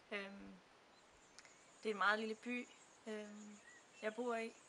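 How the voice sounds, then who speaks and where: Noticeable background noise fills the gaps between long, frequent pauses. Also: woman. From Denmark. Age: 20s. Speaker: student. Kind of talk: testimony. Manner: halting, many fillers.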